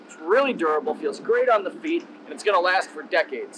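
A man at a very fast pace with lively intonation, against noticeable background noise. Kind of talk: sales tour commentary. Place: boat.

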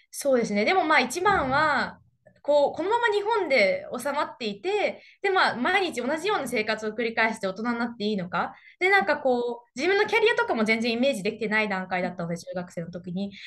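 Over a quiet background, the speaker talks fairly quickly in a confident tone with very wide pitch swings. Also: woman, high pitch for a woman. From Japan. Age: young. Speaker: interview guest. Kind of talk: interview. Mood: cheerful, smiling. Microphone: webcam.

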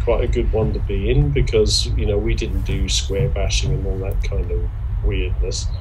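Noticeable background noise sits behind the recording. Over it, a man talks at a fairly quick pace. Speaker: interviewee. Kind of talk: interview answer. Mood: relaxed, amused reminiscing. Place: home room. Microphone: video call.

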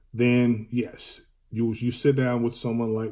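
Somewhat breathy, a man speaks at a moderate pace over a quiet background. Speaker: life insurance agent. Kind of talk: educational talk on insurance, solo monologue. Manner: filler-heavy, hesitant. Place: home room. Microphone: phone near.

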